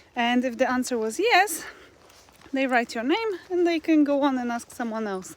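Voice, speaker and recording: The woman talks at a fairly slow pace in a high voice. Noticeable background noise runs behind her. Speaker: expat vlogger. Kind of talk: casual vlog monologue. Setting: outdoors, walking in forest. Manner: conversational, filler-heavy.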